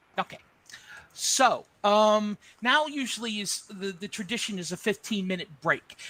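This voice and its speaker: A raised, projected voice with an American accent carries a bright, sharp tone and ordinary pitch variation, recorded dry and close with no echo. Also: man. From New Jersey. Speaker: nonprofit board president. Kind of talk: board meeting chair.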